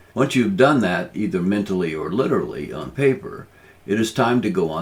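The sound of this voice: This is an unforced reading voice. The reading stays unforced throughout.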